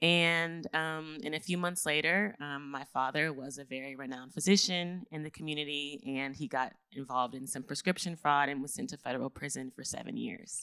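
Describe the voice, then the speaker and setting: In a very clean recording with a silent background, a woman with an American accent talks at a fairly quick pace in a very deep, low voice with a bright, sharp tone, lively intonation and big swings in loudness. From Texas, Houston (Third Ward). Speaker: podcast host and business coach. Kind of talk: live podcast talk.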